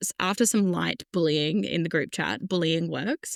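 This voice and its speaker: Recorded very cleanly with a silent background and a dry, close sound free of echo, a woman with vocal fry speaks at a moderate pace in a fairly low pitch with ordinary pitch variation. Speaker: podcast co-host. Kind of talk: casual chat. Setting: in-person recording together.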